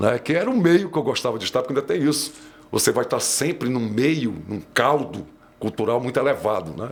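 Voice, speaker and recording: With a normal speaking voice, a man talks at a medium pitch and a fairly quick pace, his intonation lively. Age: 60s. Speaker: audio engineer. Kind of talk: interview conversation.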